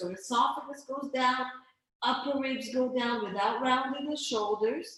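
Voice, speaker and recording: Audible room echo around a woman speaking at a fairly slow pace. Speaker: pilates instructor. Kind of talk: guided exercise class. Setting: video call. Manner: stuttering.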